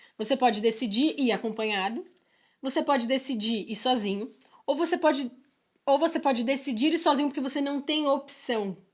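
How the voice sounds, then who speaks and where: The recording is very clean, with a silent background. A woman with a high voice talks at a moderate pace with ordinary pitch variation. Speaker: podcast co-host. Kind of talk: casual chat.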